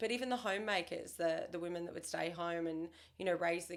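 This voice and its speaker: Her pitch sits fairly low, and her intonation stays fairly even. The woman speaks with an Australian accent. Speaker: real estate agent. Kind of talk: casual chat.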